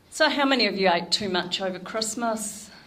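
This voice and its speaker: Audible room echo surrounds a woman speaking fairly slowly with ordinary pitch variation. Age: 60s. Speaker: nutrition educator. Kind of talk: talk to a club audience.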